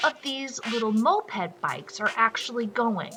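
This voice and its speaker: A woman speaks at a fairly high pitch and a fairly slow pace. Noticeable background noise runs under her voice. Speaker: gaming video creator. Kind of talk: casual gameplay commentary.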